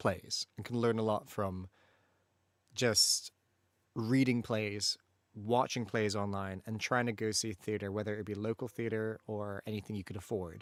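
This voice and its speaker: A man with an American accent speaks at a moderate pace. The sound is dry and close, with no echo. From Malaysia. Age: 20s. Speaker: voice actor and streamer. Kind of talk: casual livestream chat. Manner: animated.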